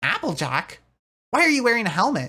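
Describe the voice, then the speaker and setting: A woman performs a put-on character voice. She pitches it fairly high and moves at a fairly quick pace. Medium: read story. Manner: brash, energetic.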